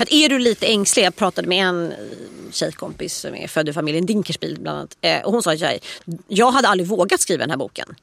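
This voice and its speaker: Speaking at a fairly quick pace, a woman uses lively intonation and vocal fry at a medium pitch. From Stockholm, Östermalm. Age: 40s. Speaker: author and columnist. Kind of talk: casual chat.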